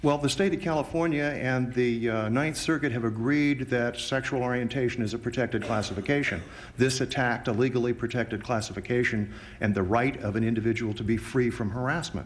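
Ordinary pitch variation runs through a man's fairly quick speech. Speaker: attorney. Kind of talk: courtroom oral argument. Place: hall. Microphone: podium.

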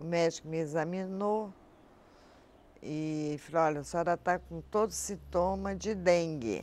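Ordinary pitch variation marks a woman's very slow delivery. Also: dry sound with no echo. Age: 80s+. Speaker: patient giving testimony. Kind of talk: testimony. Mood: recounting painful illness. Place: garden.

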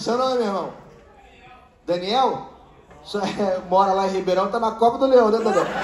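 Loud and high-pitched, a man's voice carries audible room echo over light background noise. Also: ordinary pitch variation. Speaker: stand-up comedian. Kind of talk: stand-up comedy crowd work, teasing audience members with rapid-fire jokes. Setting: stage with live audience. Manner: loud, projecting to a live room with laughter. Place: stage. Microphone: handheld.

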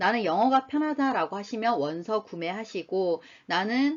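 With very wide pitch swings, a woman speaks in a fairly high voice. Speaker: university lecturer. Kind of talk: lecture. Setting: recorded online lecture. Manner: slow and clear.

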